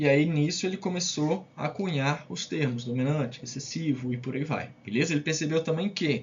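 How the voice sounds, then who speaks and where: A somewhat breathy man, fairly high in pitch, with ordinary pitch variation. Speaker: science teacher. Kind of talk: lecture. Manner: fast; casual, with many fillers.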